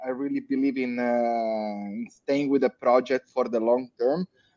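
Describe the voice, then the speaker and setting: A man with an Italian accent and a dark, mellow tone, in a dry, close sound with no echo. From Italy. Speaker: crypto community leader. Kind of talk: panel discussion. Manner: halting, many fillers.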